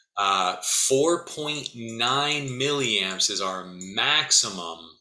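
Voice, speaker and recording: A man with lively intonation, audible room echo and music in the background. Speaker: physics instructor. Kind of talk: lecture.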